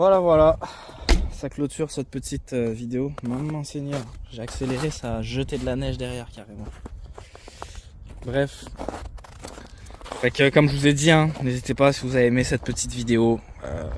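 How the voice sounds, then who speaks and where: A man at a moderate pace, with long, frequent pauses, big swings in loudness and noticeable background noise. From France. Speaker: car reviewer, YouTuber. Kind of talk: car review vlog while driving. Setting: in a car. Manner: casual, hesitant with many fillers.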